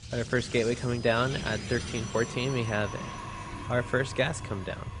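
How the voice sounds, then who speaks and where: A man's medium-pitched, monotone, flat voice at a moderate pace amid noticeable background noise. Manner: casual, improvised, with filler pauses.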